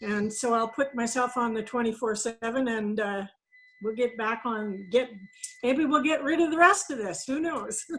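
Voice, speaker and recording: A woman talks with a plain, everyday voice, her pitch fairly high and its variation ordinary, at a moderate pace. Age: 60s. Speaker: customer giving testimonial. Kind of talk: testimony.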